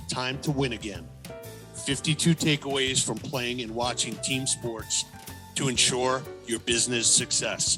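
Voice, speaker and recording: Music plays in the background. The speech is fairly slow, with fairly even intonation. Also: man, medium pitch for a man. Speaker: podcast host. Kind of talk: book promo read.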